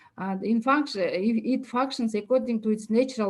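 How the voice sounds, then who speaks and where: At a moderate pace, a woman with a Kyrgyz accent speaks at a fairly high pitch with ordinary pitch variation, in a very clean recording with a silent background. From Kyrgyzstan. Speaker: university lecturer. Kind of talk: academic talk. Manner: halting, many fillers.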